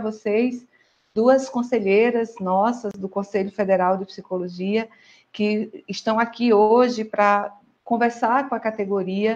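In a Brazilian accent, a woman with a fairly high pitch speaks at a fairly slow pace with fairly even intonation. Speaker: psychologist and professional council president. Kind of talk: online panel discussion. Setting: video call livestream.

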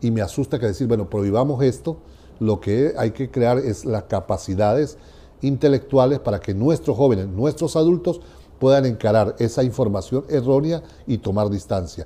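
A man speaks at a moderate pace with lively intonation and a medium pitch. His tone is dark and mellow, and somewhat breathy. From Venezuela. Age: 60s. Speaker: education researcher. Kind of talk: interview. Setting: university venue. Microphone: lapel.

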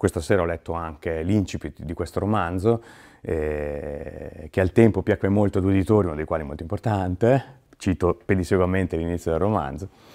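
Over a quiet background, a man with a very deep, low pitch and a dark, mellow tone talks at a fairly quick pace. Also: ordinary pitch variation. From Emilia-Romagna, Italy. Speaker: musician and author guest at a library reading event; guest. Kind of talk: recap monologue to camera. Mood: warm, enthusiastic. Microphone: lapel.

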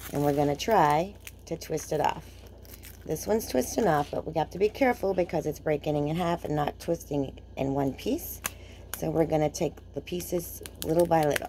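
Over light background noise, a woman talks at a moderate pace. Her voice is very deep and low, with a dark, mellow tone. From Maine. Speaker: craft tutorial host. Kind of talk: tutorial. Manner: casual and chatty. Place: home room. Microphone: phone near.

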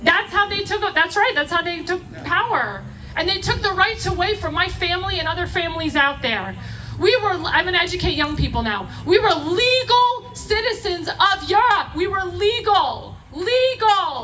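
Her voice is extremely high, raised and projected, with a passionate tone and lively intonation. The woman speaks at a moderate pace over light background noise. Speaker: rally speaker. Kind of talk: rally speech, fiery political appeal to a live crowd. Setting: outdoor rally stage with audience. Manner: passionate, emphatic, punchy repeated phrases, crowd-rousing; urgent, preaching tone with audience interjections. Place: stage.

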